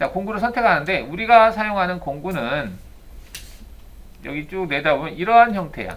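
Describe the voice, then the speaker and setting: Delivery moves at a moderate pace, broken by long, frequent pauses. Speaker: CNC CAM software instructor. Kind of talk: lecture. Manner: casual, mixes polite and plain speech.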